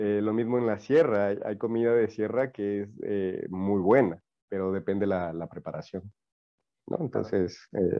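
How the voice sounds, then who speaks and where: This man's voice sits fairly low in pitch, with ordinary pitch variation. He speaks at a fairly slow pace. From Ecuador, Manabí coast. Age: 30s. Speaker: TikTok content creator. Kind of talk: casual interview.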